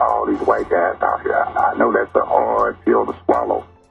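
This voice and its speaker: Over music in the background, the man's speech moves at a moderate pace. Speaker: construction project advisor, interview guest. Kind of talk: interview answer, community forum talk.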